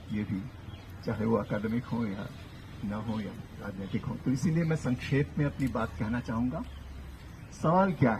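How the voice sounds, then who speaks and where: A man with a Kannada accent speaks in a somewhat breathy voice at medium pitch. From Hindi-speaking north India. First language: Kannada (speaking Hindi). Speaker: professor. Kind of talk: public lecture. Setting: outdoor public meeting with audience.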